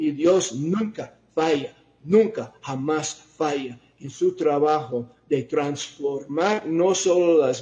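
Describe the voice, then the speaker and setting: Speaking very slowly, a man with a non-native accent uses a fairly high voice. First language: not Spanish (speaking Spanish). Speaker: preacher. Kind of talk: sermon. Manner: halting, with fillers and self-corrections.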